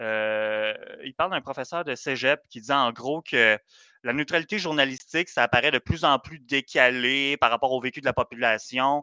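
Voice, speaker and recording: Bright and sharp in a dry, close sound with no echo, the voice moves at a moderate pace with ordinary pitch variation and big swings in loudness over a quiet background. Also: man, medium pitch for a man. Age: young. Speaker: podcast co-host. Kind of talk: casual chat.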